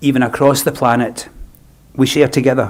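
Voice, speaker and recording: A man with a Scottish accent, medium pitch and a moderate pace. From Scotland. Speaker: funeral celebrant. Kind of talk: funeral address. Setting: funeral service, live streamed. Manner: formal.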